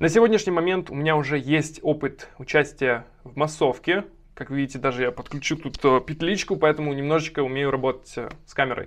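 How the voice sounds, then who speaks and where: A man speaks at a fairly quick pace with a fairly high pitch, ordinary pitch variation and big swings in loudness against a quiet background. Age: 20s. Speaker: aspiring actor. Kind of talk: acting showreel self-introduction.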